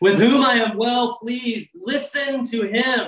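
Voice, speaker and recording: A man uses a put-on character voice at an extremely high pitch. He goes at a fairly slow pace. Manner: solemn, grand.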